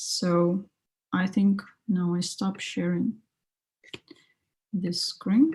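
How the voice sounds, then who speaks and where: There is a dark, mellow tone here. The voice sounds somewhat breathy. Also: woman. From Russia. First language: Russian. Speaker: graphic designer and lettering artist. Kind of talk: casual chat.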